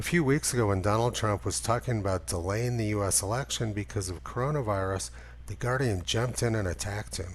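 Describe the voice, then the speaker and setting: A man with a fairly low, somewhat breathy voice talks at a fairly quick pace with very wide pitch swings. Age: 60s. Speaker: climate skeptic commentator. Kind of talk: scripted narration.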